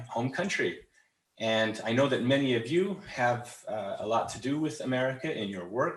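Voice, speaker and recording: In a western US accent, a man speaks at a moderate pace and medium pitch. His intonation is lively, and audible room echo is present. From Utah, Salt Lake City. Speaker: English trainer. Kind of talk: webinar presentation. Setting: online webinar. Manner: halting, many fillers and repetitions.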